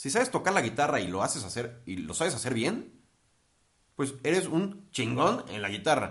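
A man speaks with vocal fry at a moderate pace. His pitch swings very widely. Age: 20s. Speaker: wedding photographer and videographer. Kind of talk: podcast interview.

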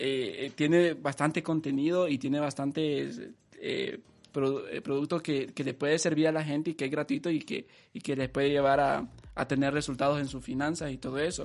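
Against a quiet background, a man in a plain, everyday voice talks at a moderate pace with a fairly high pitch and fairly even intonation. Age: 20s. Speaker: podcast host. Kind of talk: interview.

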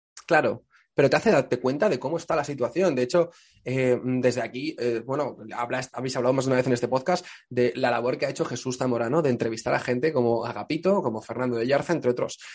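A man talks at a very fast pace, keeping a medium pitch and ordinary pitch variation. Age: 20s. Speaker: journalist and comedian. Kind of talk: casual chat. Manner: animated.

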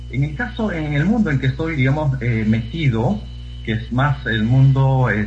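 A man speaks at a very slow pace. Noticeable background noise and audible room echo are present. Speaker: poetry reciter. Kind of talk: casual chat; reading aloud.

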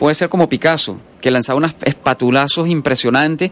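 A man speaks with a fairly high pitch. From Venezuela. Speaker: painter. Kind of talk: radio interview. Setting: radio studio.

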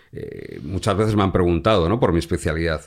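This is a man speaking. His pace is fairly quick. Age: 50s. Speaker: crime journalist. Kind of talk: interview conversation. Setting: home studio. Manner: repeats words, hesitant restarts.

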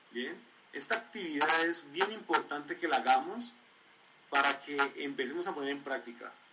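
Pausing long and often, a man speaks at a moderate pace with lively intonation amid noticeable background noise. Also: fairly high pitch for a man. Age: 20s. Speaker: community leader and motivational trainer. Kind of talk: online training presentation.

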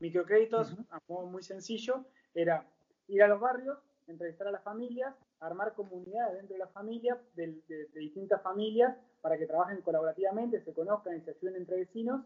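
Speaking at a fairly quick pace, a man with a high pitch shows ordinary pitch variation and big swings in loudness. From Argentina, Patagonia (Bariloche). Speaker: social entrepreneur and communicator. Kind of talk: casual interview chat. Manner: halting, frequent repetitions.

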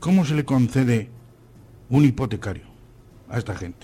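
A man with a dark, mellow tone speaks at a moderate pace, his voice somewhat breathy and his intonation lively. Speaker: senior radio workshop panelist. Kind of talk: casual radio panel chat.

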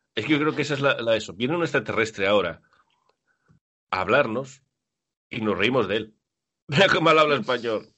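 A man talks at a fairly quick pace with lively intonation and a medium pitch. He leaves long, frequent pauses. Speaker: basketball podcast host. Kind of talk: casual chat.

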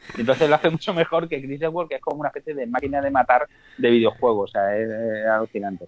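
A man talks at a very fast pace with fairly high pitch and ordinary pitch variation over noticeable background noise. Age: 40s. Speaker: podcast guest, film fan. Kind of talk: casual chat.

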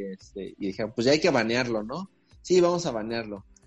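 In a Mexican accent, a man talks at a very fast pace with a medium pitch and lively intonation. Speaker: podcast host. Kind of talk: casual chat.

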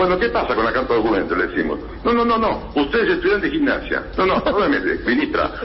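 A man talks at a very fast pace and a very even loudness, with audible room echo and noticeable background noise. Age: 60s. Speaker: sports disciplinary tribunal president. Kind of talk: radio interview.

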